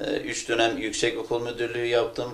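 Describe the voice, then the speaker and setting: A man's medium-pitched voice with a Kurdish accent, at a moderate pace. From Turkey, Hakkari and Van (Kurdish region). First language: Kurdish (speaking Turkish). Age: 40s. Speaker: academic and political candidate. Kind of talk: interview. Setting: at home. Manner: hesitant, many filler sounds.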